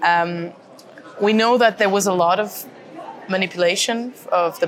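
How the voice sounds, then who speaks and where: With a Portuguese accent, a woman speaks at a fairly low pitch with ordinary pitch variation over noticeable background noise. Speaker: podcast host, member of European Parliament. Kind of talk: interview. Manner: halting.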